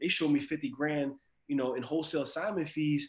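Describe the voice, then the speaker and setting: A man's fairly high voice at a very fast pace. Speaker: college student and real estate wholesaler. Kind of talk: interview.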